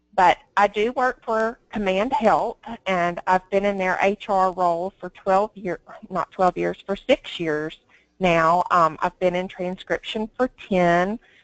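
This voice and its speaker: A woman's very slow speech in a strong Southern US accent, at a medium pitch with ordinary pitch variation, dry and close with no echo. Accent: strong Southern drawl. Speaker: HR recruiter. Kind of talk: webinar presentation.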